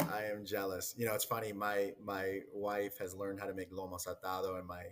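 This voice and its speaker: Speaking with a Spanish accent, a man talks at a fairly quick pace in a fairly low pitch. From Peruvian family. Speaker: podcast host. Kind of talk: casual chat.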